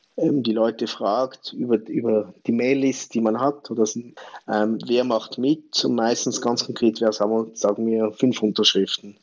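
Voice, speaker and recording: The speaker uses an ordinary speaking voice. The pace is fairly slow and the intonation fairly even. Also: man. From Switzerland. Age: 40s. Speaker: campaign platform founder. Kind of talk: interview.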